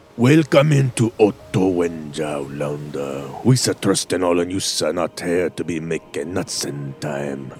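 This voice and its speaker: This man puts on a booming character voice with a very deep, low pitch. He speaks at a fairly slow pace while faint music plays in the background. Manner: smug, looking down nose.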